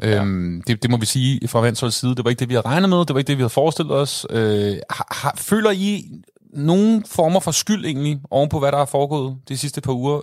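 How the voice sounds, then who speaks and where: Using a normal speaking voice, a man talks at a fairly quick pace with a fairly high pitch and lively intonation. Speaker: football podcast host. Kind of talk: casual chat. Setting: studio.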